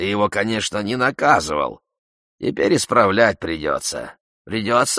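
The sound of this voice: An unforced reading voice with fairly even intonation and a quiet background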